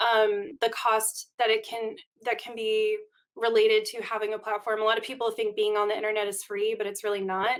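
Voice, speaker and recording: The pace is fairly quick. Intonation stays monotone and flat. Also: woman, fairly high pitch for a woman. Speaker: podcast host. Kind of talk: solo rant. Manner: fast.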